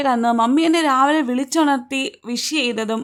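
Lively in intonation, a woman speaks at a high pitch. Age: 20s. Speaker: vlogger. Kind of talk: personal vlog narration.

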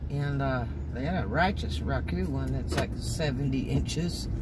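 A man's voice against loud background noise. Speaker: driver vlogger. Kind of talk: casual vlog chat. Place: car. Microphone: phone near.

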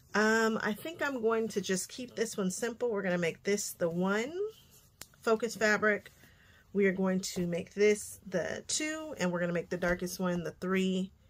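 Her pitch varying in an ordinary way, a woman speaks at a moderate pace. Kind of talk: tutorial. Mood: upbeat, eager.

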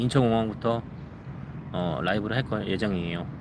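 Heard over noticeable background noise in a dry sound with no echo, a man speaks at a moderate pace with ordinary pitch variation. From South Korea. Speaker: live streamer, father; live streamer. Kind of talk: casual live stream chat. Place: forest. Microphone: phone near.

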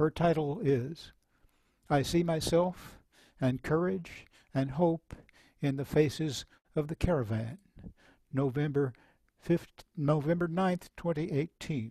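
Over a quiet background, a man with a dark, mellow tone and fairly high pitch speaks very slowly with long, frequent pauses and ordinary pitch variation, in a dry sound with no echo. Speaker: moderator and poet; moderator, poet. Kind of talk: introducing readers and reading aloud. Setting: video call. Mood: serious, measured. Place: home room. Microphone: headset.

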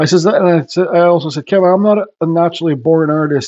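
Speaking at a fairly quick pace, a man has a slightly mellow tone and ordinary pitch variation.

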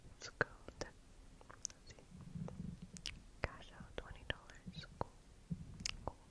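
Whispering at a fairly slow pace against noticeable background noise. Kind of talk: ASMR gaming commentary. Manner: whispered.

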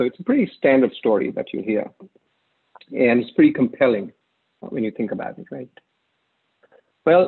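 A man talks at a moderate pace with big swings in loudness. The background is quiet. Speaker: presenter. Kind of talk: conference talk. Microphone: webcam.

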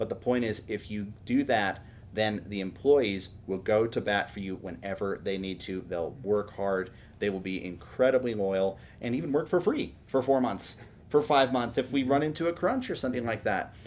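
An unremarkable speaking voice from a man with an American accent, fairly low in pitch, with lively intonation at a moderate pace over light background noise. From Houston, Texas. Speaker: tech startup CEO; podcast guest. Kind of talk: interview podcast. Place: home room.

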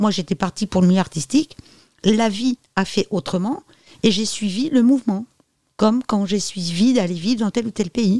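A woman's dark, mellow, somewhat breathy voice at medium pitch and moderate pace, with ordinary pitch variation and a dry, close sound with no echo. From France. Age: 50s. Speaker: medium and psychic. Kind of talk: interview.

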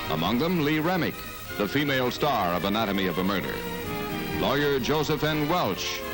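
Clear music plays in the background. The speech moves at a fairly quick pace. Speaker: newsreel narrator. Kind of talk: newsreel narration. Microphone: old recording.

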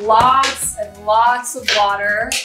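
Music plays clearly in the background. A woman speaks with fairly even intonation. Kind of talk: casual vlog chat. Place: kitchen.

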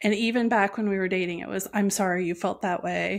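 The intonation stays fairly even as this woman talks. Nothing much sounds behind her voice, just a quiet background. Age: 40s. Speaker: entrepreneur and abuse survivor sharing her story. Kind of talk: personal testimony in interview. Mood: reflective, personal story. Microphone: earbuds.

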